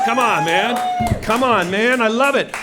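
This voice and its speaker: A man with an American accent speaks in a raised, projected voice over noticeable background noise. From US Pacific Northwest, Seattle. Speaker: comedian. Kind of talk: stand-up. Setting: stage with audience. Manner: loud; animated.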